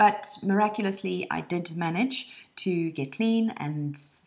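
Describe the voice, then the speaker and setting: A woman with a South African accent at a fairly slow pace. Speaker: online course instructor, lawyer trainer and coach. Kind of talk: personal introduction video.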